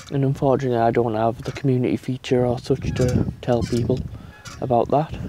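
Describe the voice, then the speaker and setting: Over noticeable background noise, a man with a British accent and a medium pitch speaks fairly quickly in a monotone, flat manner. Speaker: gaming YouTuber. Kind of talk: casual vlog monologue. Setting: outdoors in garden on swing chair.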